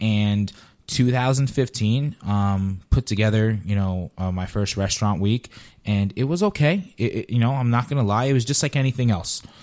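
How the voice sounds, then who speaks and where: A man with an American accent and a plain, everyday voice speaks at a medium pitch with ordinary pitch variation, in a very clean recording with a silent background. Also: moderate pace. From New Jersey. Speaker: restaurant event organizer. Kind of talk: casual chat.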